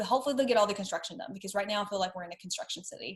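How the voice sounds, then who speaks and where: With ordinary pitch variation, this voice has a somewhat breathy quality. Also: woman. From Tennessee. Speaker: podcast host, designer and brand strategist. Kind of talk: casual interview chat.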